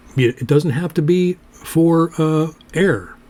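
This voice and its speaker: A man speaks over noticeable background noise. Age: old. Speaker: poetry show host. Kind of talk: casual chat.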